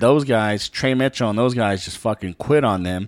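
A man's normal speaking voice, fairly low-pitched with ordinary pitch variation, at a fairly slow pace, in a dry, close sound with no echo. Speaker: sports podcast host. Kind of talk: casual sports banter.

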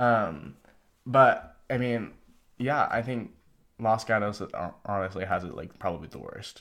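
Fairly slow, vocal-fry speech with an American accent, ordinary pitch variation, big swings in loudness and long, frequent pauses over a quiet background. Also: man, fairly low pitch for a man. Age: 18. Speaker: interview guest. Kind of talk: casual chat. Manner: casual, filler-heavy.

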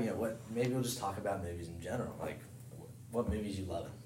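A man with an American accent talks at a very fast pace in a medium pitch, somewhat breathy, with ordinary pitch variation and audible room echo. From rural western Maryland (Cumberland). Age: 20s. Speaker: college baseball player. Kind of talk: casual chat.

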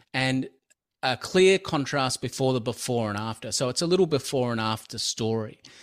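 This man has an Australian accent. His pitch is medium. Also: ordinary pitch variation, moderate pace. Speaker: video marketer and course creator. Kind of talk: interview. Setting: remote call.

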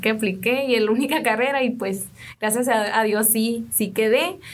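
There is audible room echo around a woman speaking at a fairly high pitch. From Sonora, Mexico (Mayo community). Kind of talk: radio interview.

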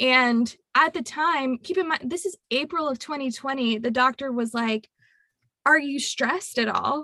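The voice is raised and projected, with a bright, sharp tone and lively intonation at a fairly slow pace. The sound is dry and close, with no echo. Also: woman. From Louisiana. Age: 20s. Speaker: tax accountant. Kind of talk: casual interview.

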